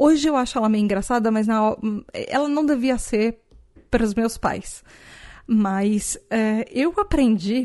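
The voice has a dark, mellow tone and very even loudness, moving at a very slow pace. Its pitch varies in an ordinary way against a quiet background. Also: woman, fairly high pitch for a woman. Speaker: podcast host. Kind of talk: casual solo podcast talk.

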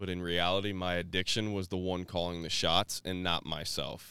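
A man with an American accent speaks at a very deep, low pitch in a monotone, flat intonation. His tone is bright and sharp, on a very clean recording with a silent background. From Florida, Tampa Bay area. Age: 30s. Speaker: recovery speaker. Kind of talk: personal testimony.

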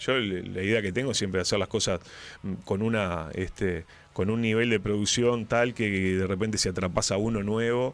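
The man has an unremarkable speaking voice with fairly low pitch. His pace is moderate and his intonation fairly even. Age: 40s. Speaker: radio host and writer. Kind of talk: casual interview chat.

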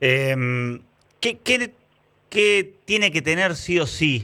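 A man speaks in a bright, sharp tone, his pitch swinging very widely. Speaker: sports journalist, interviewer. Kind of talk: casual interview.

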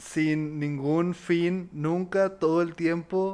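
His voice sits fairly high for a man. The intonation is fairly level throughout. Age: 20s. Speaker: comedy podcast co-host. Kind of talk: casual chat.

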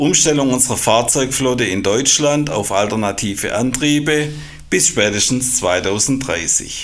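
Against noticeable background noise and audible room echo, a man speaks at a fairly slow pace with ordinary pitch variation. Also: medium pitch for a man. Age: 50s. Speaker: quality manager at an engineering company. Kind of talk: podcast interview. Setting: studio.

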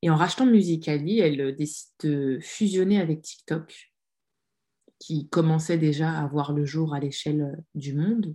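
A dark, mellow tone with ordinary pitch variation and long, frequent pauses. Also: woman. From France. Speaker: social media strategy consultant and author. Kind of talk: casual interview.

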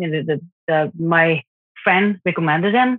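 With a Japanese accent and lively intonation, a woman speaks in a fairly low voice. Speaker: parent of an abducted child. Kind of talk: interview testimony. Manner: halting, many fillers.

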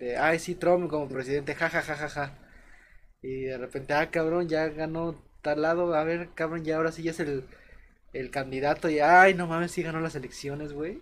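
Recorded very cleanly against a silent background, a man talks at a moderate pace in a monotone, flat intonation. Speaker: podcast host. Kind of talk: casual chat.

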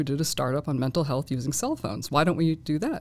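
With an American accent, a woman talks at a very fast pace in a dark, mellow tone with ordinary pitch variation. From Boston. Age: 40s. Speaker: graduate student. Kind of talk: panel discussion.

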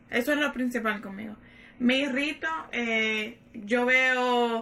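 Against noticeable background noise, a woman speaks with a high pitch and monotone, flat intonation. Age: 30s. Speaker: podcast guest. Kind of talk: casual chat.

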